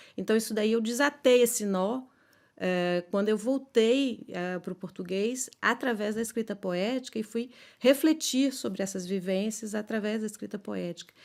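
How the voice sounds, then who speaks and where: Fairly high pitch from a woman at a moderate pace, ordinary pitch variation, on a very clean recording with a silent background. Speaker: poet and philosopher. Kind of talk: interview. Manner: halting, many fillers.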